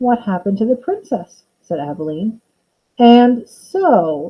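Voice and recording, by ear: With lively intonation and a quiet background, the text is read aloud in a natural voice.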